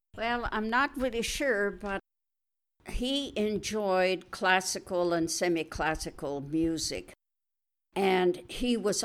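A woman's very slow speech with lively intonation. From Canada, Alberta (farm near Wetaskiwin). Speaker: retired nurse. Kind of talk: interview storytelling. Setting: at home.

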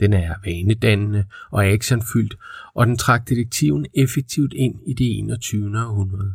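The man's voice is fairly low and somewhat breathy, with ordinary pitch variation. The recording is very clean against a silent background. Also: fairly slow pace. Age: 40s. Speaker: podcast host. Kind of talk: scripted narration.

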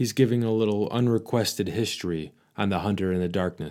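This is plain reading aloud. The text is read out as is.

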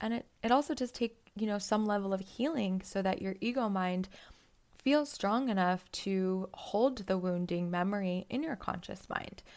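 A woman with a plain, everyday voice speaks at a medium pitch and a moderate pace with ordinary pitch variation, on a very clean recording with a silent background. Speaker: podcast host and psychotherapist. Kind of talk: solo podcast monologue on psychology.

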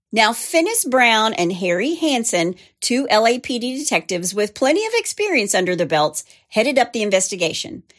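A woman with a Southern US accent talks at a fairly quick pace in an animated tone, her fairly high pitch swinging very widely, on a very clean recording with a silent background. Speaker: true crime podcast host. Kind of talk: true-crime narration, steady storytelling read with dramatic, conversational asides. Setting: studio.

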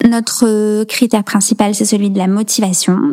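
The voice is monotone, with flat intonation. Noticeable background noise runs beneath it. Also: woman. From rural central France (Allier, Nièvre). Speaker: nonprofit founder. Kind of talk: interview.

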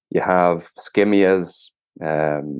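A man talks with an Irish accent. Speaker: gardening podcast host. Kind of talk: casual solo podcast talk. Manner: hesitant, many fillers and repetitions.

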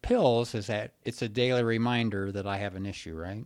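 A man talks at a moderate pace and medium pitch in an ordinary speaking voice, on a very clean recording with a silent background. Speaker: psychiatrist podcast host. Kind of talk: casual podcast conversation.

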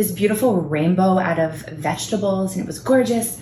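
At a fairly quick pace and with an American accent, a woman talks with ordinary pitch variation, music in the background and audible room echo. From Connecticut, Fairfield County (Norwalk). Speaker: small business owner. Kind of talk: casual chat. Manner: talkative.

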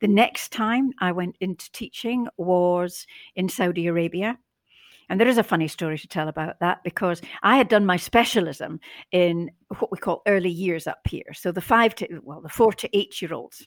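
A woman with a Scottish accent, medium pitch, ordinary pitch variation, a moderate pace and big swings in loudness. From Scotland. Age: 70s. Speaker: former head teacher and image consultant. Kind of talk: casual interview chat. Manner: hesitant, many filler words.

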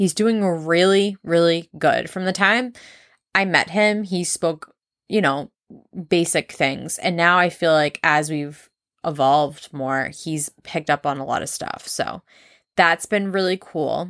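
A woman with an American accent speaks at a fairly slow pace in an animated tone, her fairly low pitch showing ordinary variation, on a very clean recording with a silent background and a dry, close sound with no echo. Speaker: podcast host. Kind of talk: casual solo monologue. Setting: at home.

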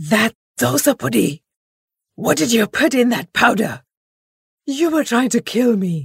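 A put-on character voice with a fairly high pitch. It moves at a moderate pace, broken by long, frequent pauses. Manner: furious, accusing.

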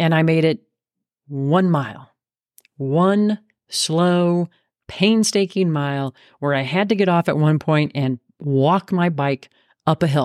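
Speaking at a very slow pace with very even loudness, a woman with a very deep, low pitch comes through in a very clean recording with a silent background. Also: ordinary pitch variation, dry, close sound with no echo. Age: 50s. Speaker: podcast host and fitness coach. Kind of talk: motivational monologue.

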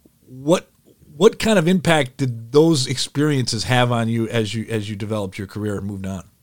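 A man with an American accent speaks at a fairly quick pace in a normal speaking voice, medium in pitch. His intonation is lively, his loudness swings a lot, and the recording is very clean with a silent background. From Detroit, Michigan. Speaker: podcast host, former radio broadcaster. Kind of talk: interview podcast.

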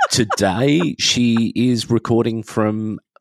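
A man talks with an Australian accent. His pitch sits fairly low. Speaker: podcaster, former pastry chef. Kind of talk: casual chat. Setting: video call.

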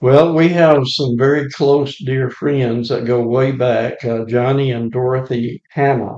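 Speaking with an Alabama accent, a man keeps his intonation fairly even. His pitch is medium and his pace fairly slow. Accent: US Southern (Alabama). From Alabama, Lawrence County. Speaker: retired volunteer church evangelist. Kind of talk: casual interview.

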